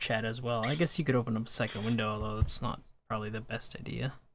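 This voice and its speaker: A man talks at a very fast pace. He is soft-spoken. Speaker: gaming livestreamer. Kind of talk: casual livestream commentary.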